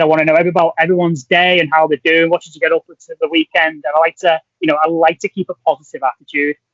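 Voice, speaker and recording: A man races along at a very fast pace with hardly any pauses, his voice high for a man and his loudness swinging a lot. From Merseyside, England (Wirral, near Liverpool). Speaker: scientist, postdoctoral researcher. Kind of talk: podcast interview. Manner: animated.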